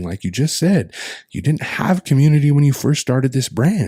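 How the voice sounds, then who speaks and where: Somewhat breathy and dark, mellow in tone, a man with an American accent speaks in a medium pitch. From Colville Confederated Tribes, Washington state. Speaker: storyteller, performing artist, musician, filmmaker. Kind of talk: podcast interview answer, casual and conversational. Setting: podcast recording.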